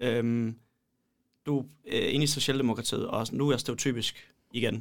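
A man speaks at a medium pitch with vocal fry. His intonation is monotone and flat. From Poland. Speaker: podcast co-host, law student. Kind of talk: casual chat.

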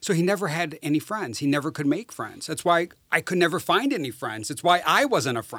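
A man's fast-moving, high-pitched voice in an American accent, bright and sharp in tone, with very wide pitch swings and hardly any pauses. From rural northern Wisconsin. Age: 50s. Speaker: social worker and amateur investigator. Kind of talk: interview.

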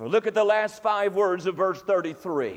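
This is a man speaking. He has a North Carolina accent. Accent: Southern US (North Carolina). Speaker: Baptist preacher. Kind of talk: Sunday morning sermon, folksy revivalist preaching with humorous asides. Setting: church service with congregation. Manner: rhythmic, emphatic repetition in climactic gospel appeal.

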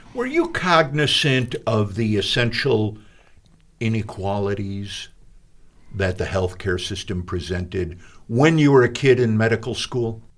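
A man speaks in an ordinary speaking voice at medium pitch. His pace is fairly slow, with ordinary pitch variation. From Chicago. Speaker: radio host. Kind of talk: radio interview. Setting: studio.

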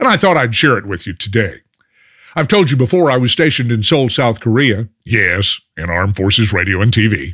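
In a very clean recording with a silent background, a man speaks at a moderate pace. His tone is bright and sharp, and his pitch swings very widely. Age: 70s. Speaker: radio cooking show host. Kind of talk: casual monologue and interview. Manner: folksy storyteller.

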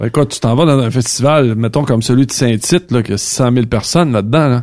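At a moderate pace and medium pitch, a man with a Quebec accent speaks with ordinary pitch variation in a very clean recording with a silent background. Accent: Québécois French. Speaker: trucking industry manager. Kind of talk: casual chat.

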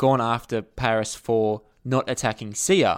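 Someone with an Australian accent speaks on a very clean recording with a silent background. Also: man. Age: 30s. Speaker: author and journalist. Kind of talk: casual chat.

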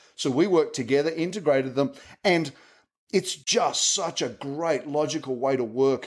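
A man with a plain, everyday voice speaks at a moderate pace and a fairly high pitch, with lively intonation. The recording is very clean, with a silent background. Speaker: tech advocate at software company. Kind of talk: casual interview chat.

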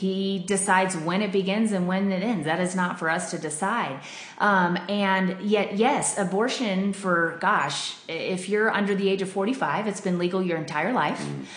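American accent at a moderate pace, fairly even intonation and hardly any pauses, with audible room echo and noticeable background noise. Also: woman, medium pitch for a woman. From Denver, Colorado. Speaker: pregnancy center worker. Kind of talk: interview. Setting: studio.

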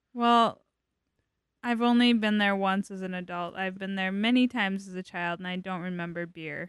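In a normal speaking voice, a woman speaks at a moderate pace with a medium pitch and fairly even intonation. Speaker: guest. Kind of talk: casual chat. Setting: studio.

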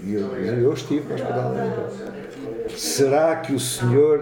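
This man's voice has a medium pitch. Noticeable background noise can be heard behind him. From Lisbon, Portugal. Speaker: retired musician and war veteran. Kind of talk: casual chat. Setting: café table.

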